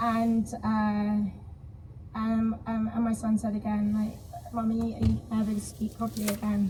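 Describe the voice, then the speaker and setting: The speech is fairly slow with monotone, flat intonation, over noticeable background noise. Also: woman, fairly high pitch for a woman. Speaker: stroke survivor. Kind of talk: panel discussion. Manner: halting.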